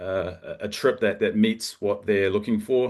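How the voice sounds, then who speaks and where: A man with a New Zealand accent and a fairly low pitch, his intonation fairly even, against a quiet background. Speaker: local travel partner. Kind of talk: information session presentation. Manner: halting, many fillers and repetitions.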